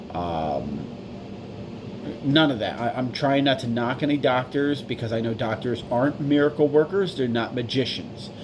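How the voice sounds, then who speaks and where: Over noticeable background noise, a man with a medium-pitched voice talks at a moderate pace with lively intonation. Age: 40s. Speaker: vlogger seeking medical help. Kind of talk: personal video appeal. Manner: stumbling, mumbling; halting.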